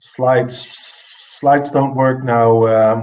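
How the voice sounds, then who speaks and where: Speaking with a non-native accent, a man delivers his words at a very slow pace in a monotone, flat intonation, with audible room echo around him. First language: not English. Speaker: plant grower. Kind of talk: presentation.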